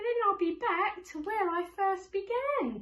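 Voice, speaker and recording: A woman does a put-on character voice at an extremely high pitch, with ordinary pitch variation and a moderate pace. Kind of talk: bedtime story. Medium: read story.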